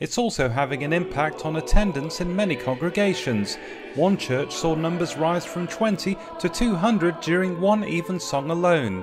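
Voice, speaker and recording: A man talks at a moderate pace, and his voice sits high. Pitch variation is ordinary, and noticeable noise fills the background. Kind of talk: news report narration.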